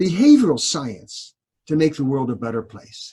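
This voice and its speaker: A man speaks in a somewhat breathy voice. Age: 70s. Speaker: behavioral scientist, university professor. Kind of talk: interview conversation.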